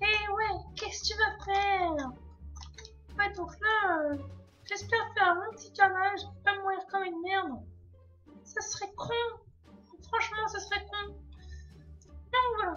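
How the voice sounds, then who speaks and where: Music plays in the background as a woman with an extremely high pitch speaks at a very slow pace, her loudness swinging widely, with long, frequent pauses and audible room echo. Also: fairly even intonation. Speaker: gaming youtuber. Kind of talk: gameplay commentary. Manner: halting, many fillers.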